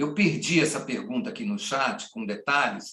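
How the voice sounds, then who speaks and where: A man talking at a moderate pace with very wide pitch swings. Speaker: moderator. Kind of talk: panel moderation.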